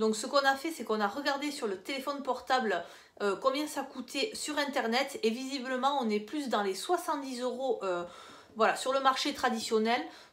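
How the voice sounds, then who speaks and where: This woman's high-pitched voice moves at a moderate pace with ordinary pitch variation. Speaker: lifestyle vlogger. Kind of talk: casual haul video. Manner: soft-spoken.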